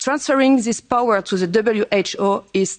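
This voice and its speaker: The voice moves at a moderate pace. Its pitch variation is ordinary. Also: woman. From France. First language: French. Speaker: politician. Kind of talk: prepared speech.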